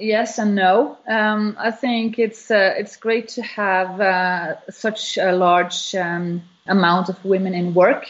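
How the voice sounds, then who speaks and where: A woman talks at a very slow pace, keeping a medium pitch and ordinary pitch variation. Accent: Norwegian. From Norway. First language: Norwegian. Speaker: business owner. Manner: halting.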